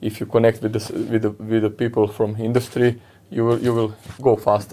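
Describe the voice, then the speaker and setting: A man with a Croatian accent speaks at a fairly quick pace in a dark, mellow tone. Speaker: podcast host and fitness coach. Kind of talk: interview. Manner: halting.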